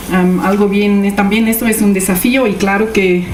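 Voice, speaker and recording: Noticeable background noise and audible room echo surround a woman at a medium pitch. She speaks at a fairly slow pace with fairly even intonation. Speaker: social geographer, researcher. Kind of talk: academic presentation. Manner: halting, many fillers.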